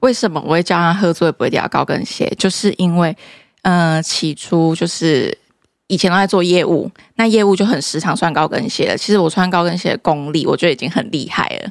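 With a fairly low pitch and ordinary pitch variation, a woman talks at a fairly quick pace in an ordinary speaking voice, on a very clean recording with a silent background. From Taiwan, Kaohsiung. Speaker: high-heel brand founder. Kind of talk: casual interview.

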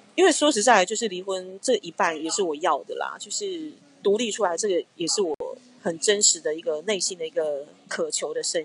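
At a fairly quick pace, a woman of medium pitch talks in a normal speaking voice. Her intonation is lively. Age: 30s. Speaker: skincare brand founder. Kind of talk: interview conversation.

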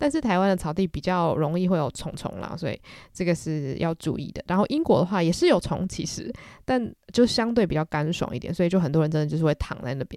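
Speaking at a very fast pace, a woman has a dark, mellow tone and lively intonation, on a very clean recording with a silent background. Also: fairly low pitch for a woman. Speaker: podcast host. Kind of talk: casual solo podcast chat. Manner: chatty, conversational.

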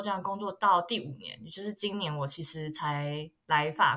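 A woman's bright, sharp tone at a fairly slow pace, with ordinary pitch variation. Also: very clean recording, silent background. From Taiwan. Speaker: luxury marketing graduate student. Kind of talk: casual chat.

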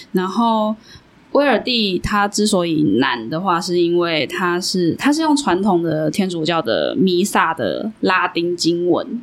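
With lively intonation, a woman speaks at a very slow pace and a fairly low pitch. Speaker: podcast host. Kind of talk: casual chat. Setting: small studio room.

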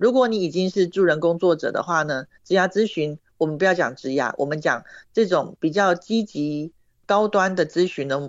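Using an unremarkable speaking voice, a woman talks at a moderate pace with fairly low pitch and ordinary pitch variation. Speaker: career counselor and trainer. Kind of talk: interview. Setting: online remote recording.

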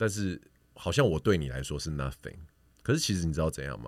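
A man's voice with vocal fry and lively intonation in a very clean recording with a silent background. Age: 40s. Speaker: podcaster. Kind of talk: casual chat.

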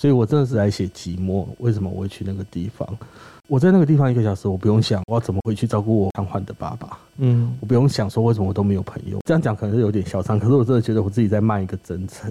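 A man speaks at a very fast pace in a fairly low pitch, with ordinary pitch variation. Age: 30s. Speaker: former crematorium worker and author. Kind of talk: casual interview chat.

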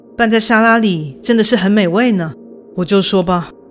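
A natural reading voice, pitch shifting in an ordinary way

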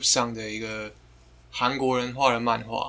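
A man talks at medium pitch in a bright, sharp tone. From Taiwan. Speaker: guest, friend of the hosts. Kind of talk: casual chat.

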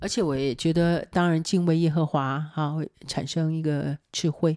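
A woman's very deep, low voice at a moderate pace with ordinary pitch variation, dry, close sound with no echo, and a very clean recording over a silent background. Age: 60s. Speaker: mother. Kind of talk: casual chat.

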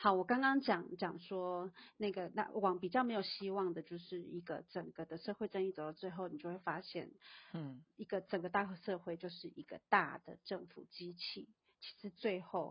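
At a moderate pace, a woman of medium pitch speaks with ordinary pitch variation and big swings in loudness. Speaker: guest discussing social justice. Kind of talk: casual chat. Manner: halting, many fillers.

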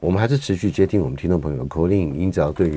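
Ordinary pitch variation and a dark, mellow tone. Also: man. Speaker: veterinarian and radio host. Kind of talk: radio talk show.

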